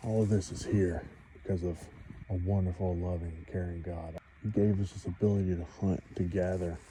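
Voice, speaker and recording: At a moderate pace, the speaker keeps a monotone, flat intonation over noticeable background noise. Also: man, very deep, low pitch for a man. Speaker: outdoors hunting vlogger. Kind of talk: casual outdoor vlog narration. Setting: outdoors in the woods. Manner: loud.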